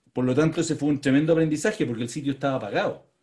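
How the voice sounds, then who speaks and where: A man speaks in a dark, mellow tone. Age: 50s. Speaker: tech entrepreneur. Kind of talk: interview.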